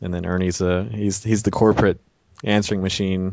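The delivery has a playful tone, a fairly quick pace and fairly even intonation. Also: man. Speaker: web series director and creator. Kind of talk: casual chat. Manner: joking, playful.

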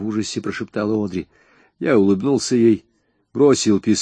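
Behind the voice, the background is quiet. It is a natural reading voice with ordinary pitch variation.

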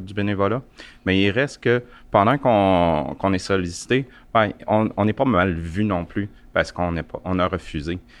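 A man speaks in a Quebec accent at a fairly slow pace and very deep, low pitch. His ordinary pitch variation is heard against a quiet background. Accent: Québécois French. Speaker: volunteer. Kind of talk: casual chat. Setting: makeshift studio at an event.

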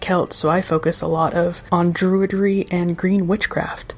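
Noticeable background noise sits under this woman's voice. She speaks at a moderate pace with a fairly low pitch and monotone, flat intonation. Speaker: podcast host. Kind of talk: guided meditation intro then casual interview.

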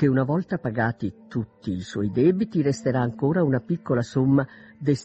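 Plain reading aloud, its intonation lively

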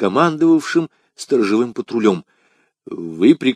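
The voice reads aloud naturally while the surroundings stay quiet.

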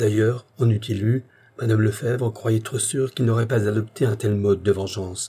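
The speaker gives a plain reading aloud with fairly even intonation.

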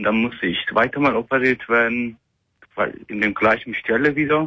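This man has a medium pitch, a bright, sharp tone and a slightly husky edge. He talks at a moderate pace with ordinary pitch variation.

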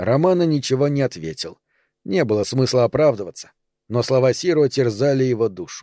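The speaker reads aloud in a natural voice. The background is quiet.

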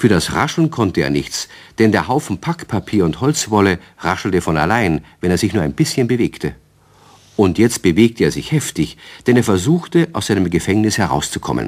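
In a very clean recording with a silent background, a slightly mellow voice moves at a moderate pace. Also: man.

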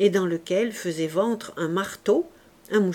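The clip carries a natural reading voice. Pitch moves up and down by an ordinary amount.

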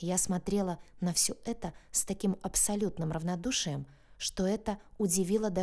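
Here is a natural reading voice. That voice carries the whole recording.

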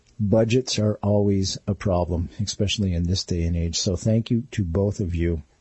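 A somewhat breathy man with a fairly low pitch speaks at a moderate pace with ordinary pitch variation, very even loudness and hardly any pauses. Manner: animated, warm and chatty, playful, ad-libbing to listeners in a friendly showman style.

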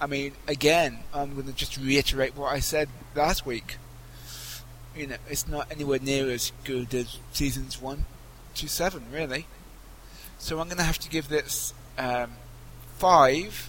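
A man with a British accent speaks at a fairly high pitch and a fairly slow pace. He leaves long, frequent pauses. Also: fairly even intonation. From Britain. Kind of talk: scripted narration; casual chat.

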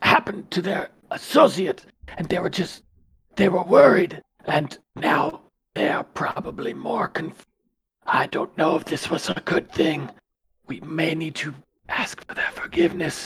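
A man's strained, raspy, hoarse voice, high-pitched for a man, at a fairly slow pace with long, frequent pauses

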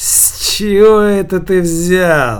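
Over light background noise, a man does a put-on character voice that is high, raspy and hoarse. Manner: irritated.

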